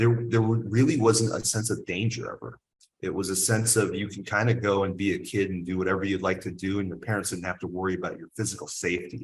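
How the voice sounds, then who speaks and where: Words come at a very fast pace in a somewhat breathy voice. The pitch varies in an ordinary way. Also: man, fairly low pitch for a man. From US South, military bases incl. Biloxi. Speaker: cigar company owner. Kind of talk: casual chat.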